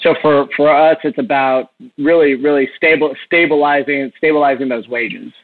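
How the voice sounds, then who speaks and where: A man with an American accent, an unremarkable speaking voice, fairly high in pitch, with fairly even intonation at a moderate pace. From Texas. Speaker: bar and restaurant owner. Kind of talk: interview.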